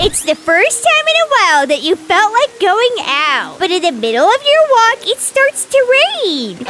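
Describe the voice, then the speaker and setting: Against clear background noise, a woman with an extremely high voice speaks at a moderate pace, her pitch swinging very widely while her loudness stays very even. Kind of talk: spooky story narration. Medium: machinima. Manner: descriptive, lightly dramatic.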